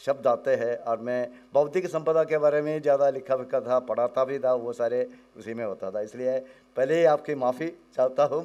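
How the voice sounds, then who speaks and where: His tone dark and mellow, a man talks at a fairly high pitch with ordinary pitch variation. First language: Malayalam (speaking Hindi). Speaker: professor, academic researcher. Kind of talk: conference talk. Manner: halting, code-switching Hindi and English.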